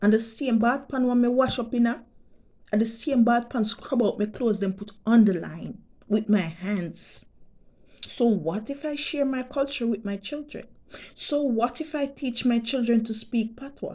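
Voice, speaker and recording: With a Jamaican accent, a woman speaks at a moderate pace in a fairly high voice, her pitch varying in an ordinary way. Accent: Jamaican, patois-inflected English. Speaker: vlogger. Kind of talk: monologue vlog rant. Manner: animated.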